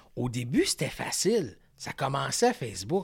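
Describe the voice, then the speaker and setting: A man with a Quebec accent speaks in a somewhat breathy voice, fairly high in pitch, with very wide pitch swings. The sound is dry and close with no echo, on a very clean recording over a silent background. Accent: Québécois French. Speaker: fishing pro-staff agency owner. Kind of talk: casual chat.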